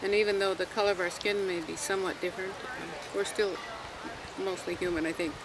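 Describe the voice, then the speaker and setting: Over noticeable background noise, a woman with an American accent talks at a moderate pace and medium pitch. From California. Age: 70s. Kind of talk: interview.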